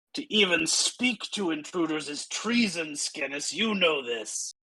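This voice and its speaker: A put-on character voice growls at a middle pitch and a fairly slow pace. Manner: yelling, scolding.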